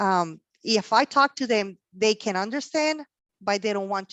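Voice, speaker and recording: With a Mexican accent, a woman at a medium pitch speaks at a moderate pace. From Mexico, Sonora. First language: Spanish. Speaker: logistics professional. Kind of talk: career talk interview. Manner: halting, many fillers.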